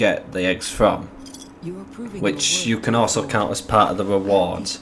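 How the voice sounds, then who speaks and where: This man's voice is fairly low and his pace moderate. Background noise is noticeable. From England. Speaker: gaming youtuber. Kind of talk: video game commentary. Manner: casual and animated.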